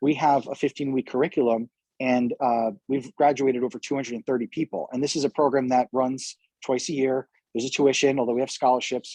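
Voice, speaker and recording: At a fairly quick pace, a man at medium pitch talks with fairly even intonation. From New York. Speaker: community organization founder. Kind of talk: interview. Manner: fast.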